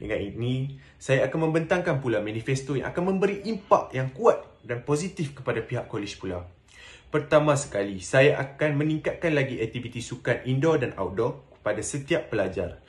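A man's somewhat breathy voice at a moderate pace, with lively intonation. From Malaysia, Penang; Malaysia. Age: 20s. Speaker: student election candidate; election candidate. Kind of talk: campaign speech. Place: home room. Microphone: phone near.

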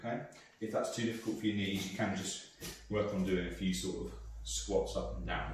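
Amid strong room echo and light background noise, a man speaks at a fairly quick pace. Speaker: exercise class instructor. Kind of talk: exercise class instruction. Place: home room. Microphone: camera far.

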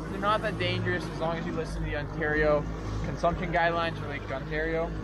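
Clear music plays behind a man who talks at a fairly quick pace. The sound is dry, with no echo. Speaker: angler vlogger. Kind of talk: casual vlog chat. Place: boat. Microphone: camera far.

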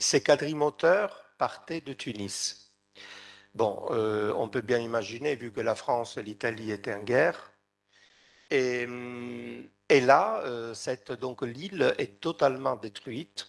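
A man talks at a very slow pace, leaving long, frequent pauses. His loudness swings widely. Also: medium pitch for a man, ordinary pitch variation. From Sicily, Trapani; Sicily. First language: Italian (speaking French). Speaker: researcher and novelist; conference panelist. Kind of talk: conference talk. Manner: halting. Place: hall. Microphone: podium.

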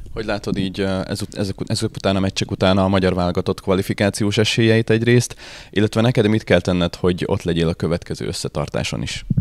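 A man's fairly low voice at a very fast pace, with fairly even intonation and a dry, close sound with no echo. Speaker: club interviewer. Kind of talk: casual interview.

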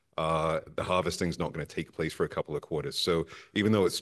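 The man's pitch is very deep and low. He speaks at a fairly quick pace. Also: quiet background. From born in Harlem, New York; New York City. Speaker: investment consultant, panelist; panelist. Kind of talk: panel discussion. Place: hall. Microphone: handheld.

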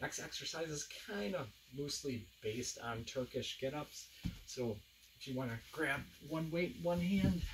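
Intonation is lively and the pace fairly slow, with noticeable background noise behind the voice. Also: man. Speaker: fitness instructor. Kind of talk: workout tutorial. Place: home room. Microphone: camera far.

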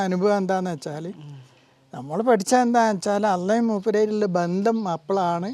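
A man is speaking. His pitch varies an ordinary amount. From Kerala, Wayanad (Sultan Bathery). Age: 70s. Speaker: devotee sharing testimony. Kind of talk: testimony.

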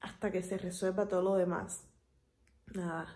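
A woman at a fairly slow pace. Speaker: vlogger. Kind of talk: casual vlog chat. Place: home room. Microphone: phone near.

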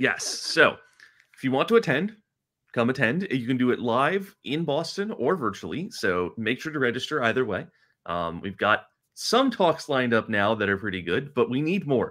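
Over a quiet background, a man speaks at a moderate pace. His tone is bright and sharp, with very wide pitch swings. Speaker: podcast host; show host. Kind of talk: casual technical chat. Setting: video call. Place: home room. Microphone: video call.

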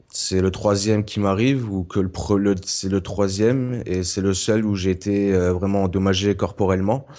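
Speaking at a moderate pace, a man with a fairly low pitch has a dark, mellow tone and fairly even intonation. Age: 20s. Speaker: car accident survivor. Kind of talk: testimony.

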